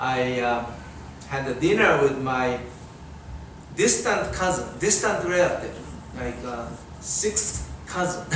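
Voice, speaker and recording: A man with a Japanese accent and medium pitch speaks at a very slow pace, with long, frequent pauses. Room echo is audible, and the background noise is noticeable. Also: lively intonation. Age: 60s. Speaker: Buddhist minister. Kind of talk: dharma talk. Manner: halting.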